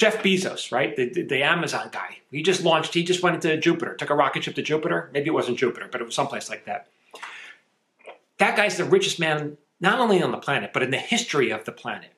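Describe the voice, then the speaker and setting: At a very fast pace, a man with a fairly high pitch speaks with lively intonation. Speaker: screenwriter and writing teacher. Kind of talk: casual monologue to camera.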